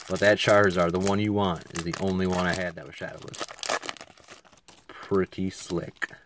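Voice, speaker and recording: Quietly, a man speaks with a very deep, low pitch and fairly even intonation. There is noticeable background noise. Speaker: card collector youtuber. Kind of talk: casual box-opening commentary. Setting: at home desk, late night. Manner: quiet, subdued.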